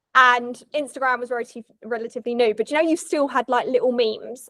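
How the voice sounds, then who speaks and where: A woman with a British accent talks at a very fast pace in a high pitch, her raised, projected voice bright and sharp in tone over fairly even intonation. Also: hardly any pauses, dry, close sound with no echo. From England. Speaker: wildlife photographer. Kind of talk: casual interview chat.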